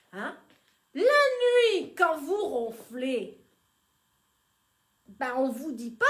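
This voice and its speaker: Audible room echo carries a woman's voice as her pitch makes very wide swings. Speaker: boutique owner. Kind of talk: live sales stream. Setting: Facebook live video. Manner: loud; animated.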